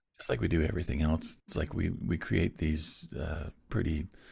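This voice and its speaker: On a very clean recording with a silent background, a man with an American accent speaks at a moderate pace in a very deep, low pitch, with vocal fry and fairly even intonation. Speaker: business owner and musician. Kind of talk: casual interview chat. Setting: podcast interview.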